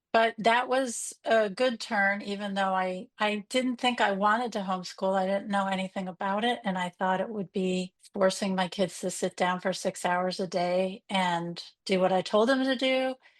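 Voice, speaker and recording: A woman with an American accent talks at medium pitch and a moderate pace in an unremarkable speaking voice. The sound is dry and close with no echo, over a quiet background. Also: ordinary pitch variation, hardly any pauses. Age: 60s. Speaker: unschooling parent and support group admin. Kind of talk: podcast interview.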